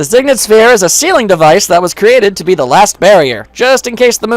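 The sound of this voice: An unforced reading voice with lively intonation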